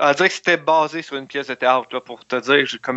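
Speaking at a fairly quick pace, a man with an unremarkable speaking voice holds a medium pitch and ordinary pitch variation. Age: young. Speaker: film reviewer. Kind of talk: casual chat.

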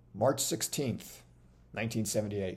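This man's voice has vocal fry. His pitch is fairly low. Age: 50s. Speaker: podcast host and author. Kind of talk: reading aloud from own book with commentary.

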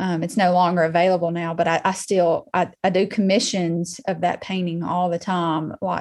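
A woman with a Southern US accent speaks in a fairly low pitch at a moderate pace. Her intonation is monotone and flat, over a quiet background. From Alabama (Muscle Shoals). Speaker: artist and interior designer. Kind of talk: casual interview.

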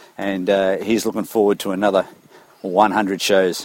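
A man with an Australian accent speaks at a fairly low pitch and moderate pace, with noticeable background noise. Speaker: running coach, listener. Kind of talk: recorded voice message. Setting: recorded while walking. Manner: casual, friendly.

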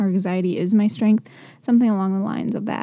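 The voice has a dark, mellow tone and a monotone, flat delivery. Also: woman. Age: 20s. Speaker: mental health podcaster and blogger. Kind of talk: casual personal monologue. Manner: halting, many pauses; stumbles over words.

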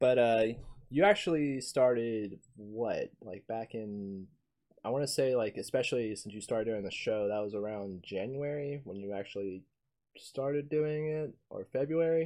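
With a normal speaking voice, a man talks at a moderate pace with ordinary pitch variation and big swings in loudness against a quiet background. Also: medium pitch for a man. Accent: American. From US South. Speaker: podcast host. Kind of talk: casual chat.

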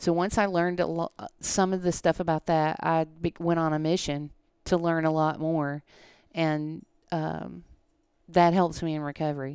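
A woman with an American accent at a fairly low pitch and moderate pace, monotone and flat, on a very clean recording with a silent background and a dry, close sound with no echo. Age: 50s. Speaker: CrossFit athlete. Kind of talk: casual chat.

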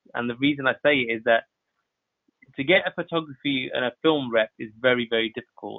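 Speaking in a London accent at a fairly quick pace, a man keeps a medium pitch with ordinary variation. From West London (Southall), England. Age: 30s. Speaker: photographer. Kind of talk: podcast interview. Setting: podcast recording.

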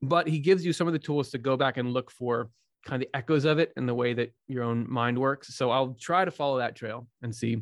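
With a normal speaking voice, a man talks at a fairly quick pace and medium pitch. His pitch varies in an ordinary way. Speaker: Swedenborg scholar and YouTube host. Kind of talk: casual interview conversation.

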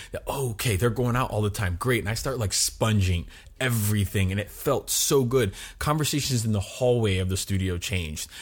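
A man with an American accent talks at a fairly quick pace in a medium, somewhat breathy voice with ordinary pitch variation, on a very clean recording with a silent background. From US, Miami, Florida. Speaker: actor. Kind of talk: interview.

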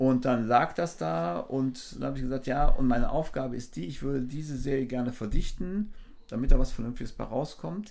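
This man speaks at a fairly quick pace with a medium pitch. His pitch swings very widely and his loudness shifts a lot. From Germany, Düsseldorf. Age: 60s. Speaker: photographer and former drummer. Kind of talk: casual interview chat. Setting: outdoors by the sea.

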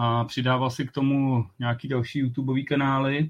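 Monotone, flat intonation in a man's medium-pitched speech. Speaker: podcast host. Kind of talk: casual chat.

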